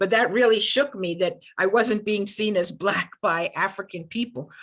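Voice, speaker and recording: Here a woman with an American accent has a plain, everyday voice and a fairly high pitch. She moves at a moderate pace with ordinary pitch variation. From United States. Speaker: panel moderator, law dean. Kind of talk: panel discussion.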